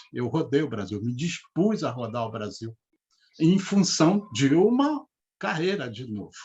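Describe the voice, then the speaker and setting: A man speaks at a fairly slow pace in a fairly high, somewhat breathy voice. His pitch rises and falls very widely. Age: 60s. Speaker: retired bank manager and speaker on money. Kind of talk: live interview talk. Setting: live video stream.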